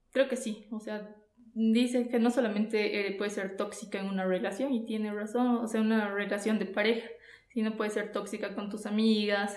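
Amid audible room echo, a woman with a fairly high pitch speaks in a flat monotone at a moderate pace. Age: 30s. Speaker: podcast guest. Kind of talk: casual chat.

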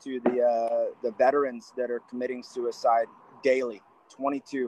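A man with an American accent speaks in a plain, everyday voice at medium pitch, his intonation fairly even and his pace fairly slow, in a dry, close sound with no echo. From US Southwest. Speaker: wrestling coach and army veteran. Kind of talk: casual interview.

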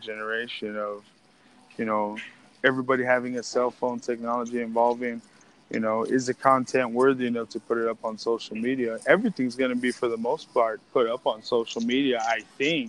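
A man talks at a fairly quick pace with a medium pitch. His is an ordinary speaking voice. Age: 30s. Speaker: podcast host. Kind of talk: casual chat. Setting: phone call; walking through a store.

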